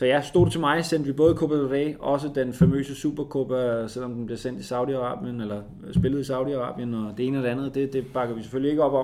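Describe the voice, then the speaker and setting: At a very fast pace with hardly any pauses, a man speaks in a medium pitch with fairly even intonation. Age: 20s. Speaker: TV sports reporter and presenter. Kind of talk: casual interview.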